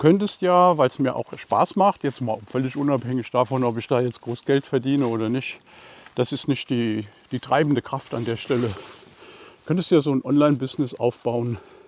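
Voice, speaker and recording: In a dry, close recording with no echo but noticeable background noise, a man talks at a moderate pace in a relaxed tone, his medium pitch showing ordinary variation. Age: 60s. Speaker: painting YouTuber. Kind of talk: casual walking vlog talk. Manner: relaxed, casual.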